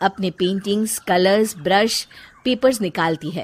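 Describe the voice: A woman speaks at a fairly slow pace. Her tone is slightly mellow.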